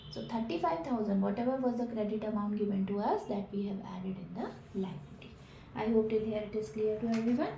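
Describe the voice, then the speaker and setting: A woman's fairly high voice at a fairly quick pace, ordinary pitch variation, audible room echo and noticeable background noise. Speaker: accountancy teacher. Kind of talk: lecture.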